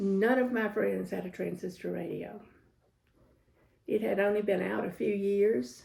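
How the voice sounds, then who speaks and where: A woman talks fairly slowly, breaking her speech with long, frequent pauses. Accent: Southern US. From US South, Georgia (Jenkinsburg). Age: 70s. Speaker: interviewee recalling her life. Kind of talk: oral history interview.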